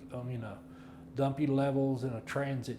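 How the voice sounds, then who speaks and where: The man talks at a moderate pace. There is audible room echo along with noticeable background noise. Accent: West Texas. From Texas, Paducah. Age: 70s. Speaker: land surveyor. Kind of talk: interview. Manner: halting.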